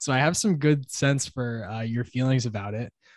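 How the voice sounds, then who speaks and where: A man speaks at a medium pitch in a somewhat breathy voice. The background is quiet. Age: 30s. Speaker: podcast host. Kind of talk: casual interview chat. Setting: video call.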